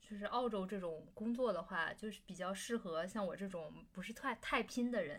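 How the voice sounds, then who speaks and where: A woman talks at a moderate pace with hardly any pauses. Her pitch variation is ordinary. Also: medium pitch for a woman. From Beijing, China. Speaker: podcast co-host. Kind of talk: casual chat.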